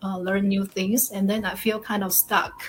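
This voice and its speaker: Speaking in a Taiwanese accent, a woman with a medium pitch sounds somewhat breathy and keeps her intonation monotone and flat. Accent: Taiwanese Mandarin-accented English. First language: Mandarin Chinese. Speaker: online business partner. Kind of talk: interview. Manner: halting.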